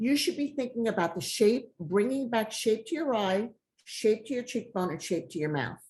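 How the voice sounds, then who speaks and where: Pitch swings very widely in this voice. It sounds somewhat breathy. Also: woman. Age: 60s. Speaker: makeup brand founder. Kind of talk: casual chat. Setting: video call.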